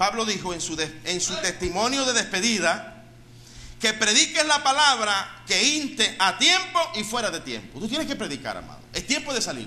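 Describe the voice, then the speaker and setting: Projecting his raised voice, a man talks at a moderate pace with a high pitch and very wide pitch swings. Room echo is audible. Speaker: pastor. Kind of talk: sermon.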